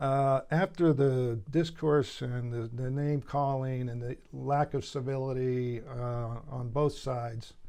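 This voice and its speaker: Very slow yet with hardly any pauses, a man speaks at a medium pitch in a dark, mellow tone with fairly even intonation. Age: 60s. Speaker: retired landscaping business owner. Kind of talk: interview. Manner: halting, many fillers.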